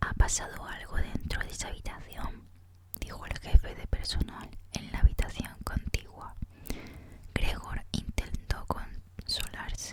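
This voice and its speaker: A woman whispers fairly slowly as noticeable background noise continues. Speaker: ASMR content creator. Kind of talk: audiobook reading, ASMR. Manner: soft, whispered.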